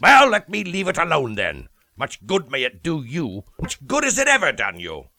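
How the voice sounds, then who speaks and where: In a gruff, put-on character voice, a man talks at a moderate pace and a high pitch, with a dry, close sound and no echo. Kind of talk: radio drama acting. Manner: gruff, scornful, curt.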